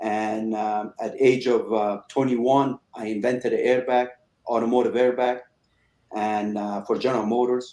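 Speaking at a fairly slow pace, a man has a medium pitch and monotone, flat intonation. Long, frequent pauses run through his speech. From Iran, moved to Chicago at 13. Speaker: cigar company owner, former auto executive. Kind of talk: interview.

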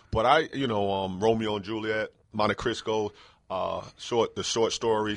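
Using a plain, everyday voice, a man with an American accent speaks at a fairly low pitch and fairly slow pace with fairly even intonation. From New York City. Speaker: retired basketball player. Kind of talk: interview. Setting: studio.

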